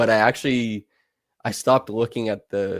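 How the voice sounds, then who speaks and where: On a very clean recording with a silent background, a man with a Canadian accent and an ordinary speaking voice talks at fairly low pitch with fairly even intonation, the sound dry and close with no echo. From Canada. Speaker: basketball film analyst, podcast co-host. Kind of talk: casual chat.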